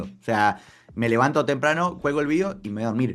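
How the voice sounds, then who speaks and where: Music plays in the background. A man with an Argentine accent speaks at a moderate pace. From Argentina. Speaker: football journalist and content creator. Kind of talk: interview answer.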